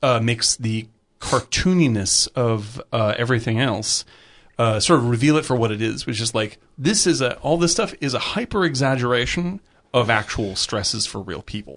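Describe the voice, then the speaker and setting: Lively intonation marks this man's speech. His pitch is medium and his pace moderate. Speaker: film podcast co-host. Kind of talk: casual chat. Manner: animated.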